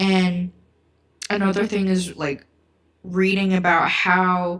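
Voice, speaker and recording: A woman's medium-pitched voice at a very slow pace. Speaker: book YouTuber. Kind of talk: livestream book chat. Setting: livestream. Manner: halting, stuttering; casual, filler-heavy.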